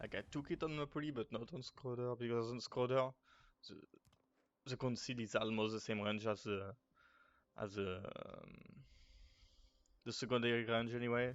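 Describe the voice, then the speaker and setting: A man with a French accent speaks at a moderate pace and medium pitch, with ordinary pitch variation and long, frequent pauses. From France. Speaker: gaming guide creator. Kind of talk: casual gaming tutorial talk.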